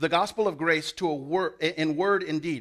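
With an American accent, a man speaks at a moderate pace and a fairly high pitch, his tone bright and sharp, on a very clean recording with a silent background. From US South. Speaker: pastor. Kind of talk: sermon. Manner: halting.

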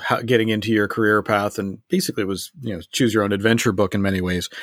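A man talks at a fairly quick pace and a fairly low pitch, in an ordinary speaking voice. The recording is very clean, with a silent background. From Canada. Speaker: podcast host. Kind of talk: interview chat.

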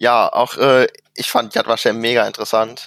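In a dry, close sound with no echo, a man talks at a fairly slow pace with monotone, flat intonation. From Germany, Mönchengladbach area (Rheindalen). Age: 20s. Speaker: youth association committee member and student. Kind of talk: casual chat.

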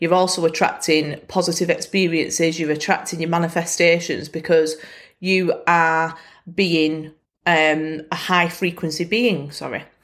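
Over a very clean recording with a silent background, a woman with a northern English accent speaks at a fairly slow pace in a fairly low pitch with monotone, flat intonation. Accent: Bolton northern English. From Bolton, northern England. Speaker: podcast host. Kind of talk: casual solo podcast monologue.

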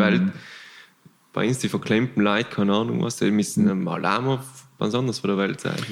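Fairly low in pitch, a man talks at a fairly quick pace with ordinary pitch variation. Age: 20s. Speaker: long-distance cyclist. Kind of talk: casual chat.

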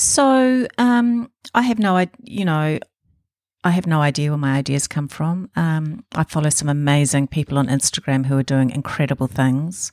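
At a moderate pace, a woman speaks with a very deep, low pitch and very wide pitch swings. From New Zealand, Auckland. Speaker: embroidery artist. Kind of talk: interview. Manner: hesitant fillers.

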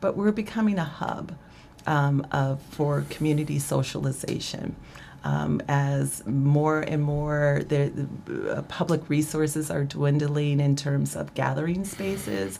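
Noticeable background noise fills the clip. Over it, a woman talks fairly slowly. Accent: American. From Ohio, Dayton area (Fairborn). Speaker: library director. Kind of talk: interview.

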